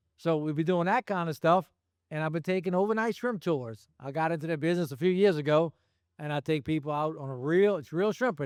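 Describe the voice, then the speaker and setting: At a fairly quick pace, a high-pitched man talks with ordinary pitch variation on a very clean recording with a silent background. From Louisiana, St. Bernard Parish. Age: 60s. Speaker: commercial shrimper. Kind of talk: panel discussion.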